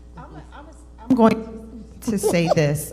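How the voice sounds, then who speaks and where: A woman with an American accent, plus audible room echo and music in the background. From Cherry Hill, New Jersey. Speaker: panelist. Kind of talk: panel discussion.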